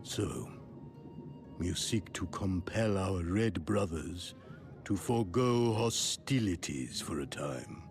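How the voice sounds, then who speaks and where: A man puts on a character voice, pitched very deep and low, delivered at a fairly slow pace. Clear music plays in the background. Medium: video game. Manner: grave, ceremonial.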